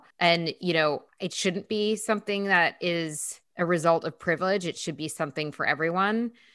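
In a very clean recording with a silent background, a woman with a plain, everyday voice speaks at a moderate pace in a fairly low pitch, with ordinary pitch variation and hardly any pauses. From upstate New York. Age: 40s. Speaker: co-host and TV journalist. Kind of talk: casual conversation. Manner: humorous, witty.

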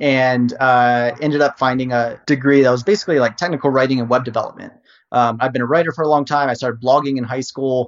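Speaking at a very fast pace, the man has a medium pitch, fairly even intonation and an American accent. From US South, Virginia. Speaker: SEO marketplace founder. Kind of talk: casual interview.

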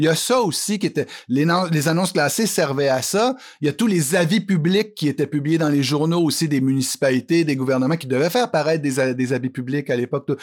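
In a very clean recording with a silent background, a fairly high-pitched man speaks at a fairly quick pace with lively intonation and very even loudness. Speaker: columnist and author. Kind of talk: interview. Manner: halting.

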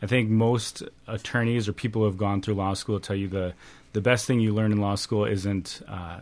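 This man has a normal speaking voice with a fairly low pitch and fairly even intonation. The background is quiet. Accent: American. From Wisconsin, Janesville. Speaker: nonprofit executive. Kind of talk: radio interview. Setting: studio.

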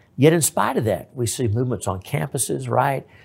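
Fairly quick male speech in a Texan accent. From East Texas. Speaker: state senator and lawyer. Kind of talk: interview.

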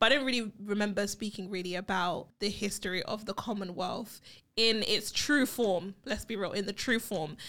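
In a British accent, the voice has a bright, sharp tone and ordinary pitch variation. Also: woman, medium pitch for a woman, moderate pace. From England. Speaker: podcast co-host. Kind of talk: casual chat. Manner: animated.

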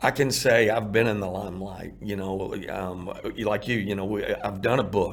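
A man with a Texan accent and a fairly low pitch, in audible room echo. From Texas, Irving. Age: 50s. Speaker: former coach, addiction recovery nonprofit founder. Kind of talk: testimony.

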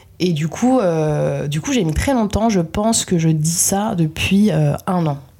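Ordinary pitch variation runs through a woman's very deep, low voice. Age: 20s. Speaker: web video director. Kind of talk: interview. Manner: casual, hesitant with fillers.

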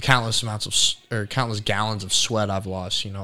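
Someone with a Midwestern US accent talks at a very fast pace on a very clean recording with a silent background. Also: man. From central Indiana. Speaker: college wrestler. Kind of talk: casual chat.

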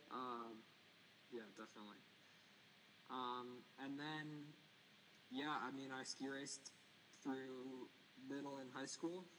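A man talks very slowly, with long, frequent pauses and fairly even intonation. His tone is bright and sharp, and the room echo is audible. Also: medium pitch for a man. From Maine. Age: 20s. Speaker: ski wax tech and mountain bike racer. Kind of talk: casual interview.

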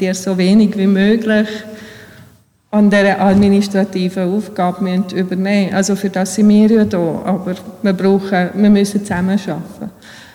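A woman speaks at a moderate pace with monotone, flat intonation, with audible room echo and noticeable background noise. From Bosnia, moved to Switzerland at 12-13. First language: Bosnian (speaking German). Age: 40s. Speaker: church administrator. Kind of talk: interview in church service. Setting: church with congregation.

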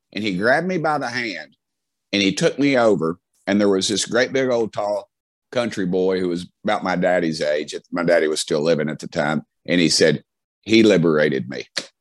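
With an American accent, a man speaks at a moderate pace and a fairly low pitch. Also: lively intonation. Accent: Southern, redneck. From US South, Knoxville, Tennessee. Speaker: politician. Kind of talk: interview storytelling. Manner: halting, many false starts.

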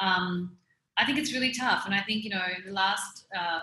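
A woman speaks at a fairly low pitch. Her pace is moderate. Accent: Australian. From Melbourne, Australia. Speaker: fashion brand founder. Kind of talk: interview. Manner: hesitant, many fillers.

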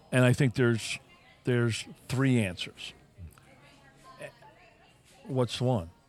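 With music in the background, a man speaks at a very slow pace and medium pitch, with long, frequent pauses, very even loudness and ordinary pitch variation. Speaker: podcast co-host. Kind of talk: casual coffee chat; fervent prayer, earnest list of petitions. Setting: coffee shop. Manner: earnest, conversational; sincere, rhythmic repetition, heartfelt.

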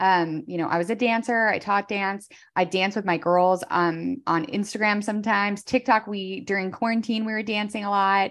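A woman with a plain, everyday voice speaks at a moderate pace and medium pitch. Her intonation is fairly even, over a quiet background. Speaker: entrepreneur and podcaster. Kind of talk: casual interview chat.

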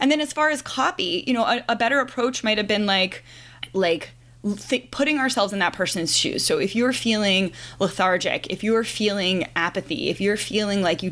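A woman with an unremarkable speaking voice, medium in pitch, at a moderate pace with lively intonation. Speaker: writer and marketing teacher. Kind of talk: casual interview chat.

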